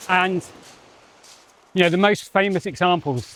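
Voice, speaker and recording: Against noticeable background noise, a man with a southern English accent speaks at a fairly slow pace. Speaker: spiritual teacher and channeler. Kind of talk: walk-and-talk monologue. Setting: outdoors, on a walk. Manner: loud.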